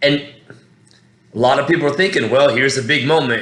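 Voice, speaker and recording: A man's fairly high voice in an American accent, with fairly even intonation and audible room echo. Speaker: MMA fan commentator. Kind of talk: casual fight breakdown monologue. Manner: rambling, halting with many fillers.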